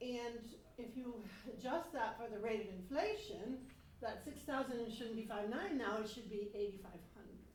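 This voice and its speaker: A woman talks at a moderate pace with a fairly high pitch and ordinary pitch variation. Room echo is audible. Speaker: resident giving public comment. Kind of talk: public comment at a town board meeting. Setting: town board meeting room, seated at table mic. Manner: loud.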